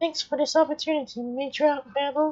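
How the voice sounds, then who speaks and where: A female-sounding voice does a put-on character voice pitched high. The delivery runs at a fairly quick pace. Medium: game stream.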